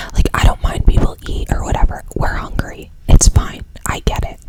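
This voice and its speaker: Whispering over noticeable background noise. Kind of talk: ASMR storytime ramble. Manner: casual, chatty.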